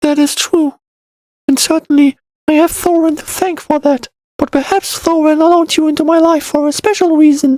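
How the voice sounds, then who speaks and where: A put-on character voice with a high pitch and a warm tone. The pace is moderate. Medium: read story. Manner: soft, warm, earnest.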